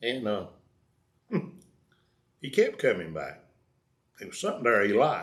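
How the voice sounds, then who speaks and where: A man speaks at a moderate pace with a North Carolina accent. His speech has long, frequent pauses. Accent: Southern US, North Carolina. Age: old. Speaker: storyteller. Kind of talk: personal life story told casually.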